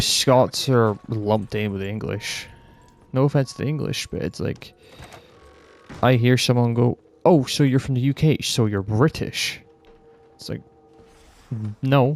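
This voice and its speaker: Music in the background behind a man at a medium pitch, ordinary pitch variation and long, frequent pauses. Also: fairly slow pace, big swings in loudness. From northern Scotland. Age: 19. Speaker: YouTuber. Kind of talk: casual rant. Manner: animated.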